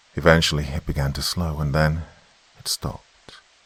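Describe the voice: A man speaks at extremely low pitch with a slightly husky edge. His tone is fairly bright, and his pace is fairly slow.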